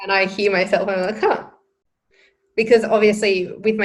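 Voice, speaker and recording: A woman at a very fast pace. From Australia. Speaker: podcast co-host. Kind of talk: casual chat.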